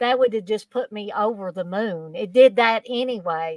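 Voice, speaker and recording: With a Kentucky accent, a woman talks at a moderate pace with a fairly high pitch and ordinary pitch variation, in a dry, close sound with no echo on a very clean recording with a silent background. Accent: Southern Kentucky. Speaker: horror fan guest. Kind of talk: casual chat, anecdote. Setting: live stream.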